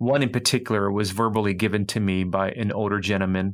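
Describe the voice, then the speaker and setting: At a moderate pace, a man with an American accent talks in a fairly low pitch with fairly even intonation, on a very clean recording with a silent background. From US Midwest, inner city Detroit. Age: 40s. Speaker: pastor and author. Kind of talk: interview.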